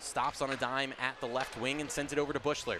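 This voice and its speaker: Amid noticeable background noise, a man with a fairly high pitch speaks in an energetic tone. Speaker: play-by-play broadcaster. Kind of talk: live radio sports play-by-play. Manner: fast, energetic.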